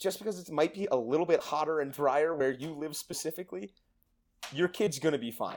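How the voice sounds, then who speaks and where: At a fairly quick pace, a man with a plain, everyday voice speaks at a fairly high pitch with ordinary pitch variation. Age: 20s. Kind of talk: casual chat. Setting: remote recording on mics.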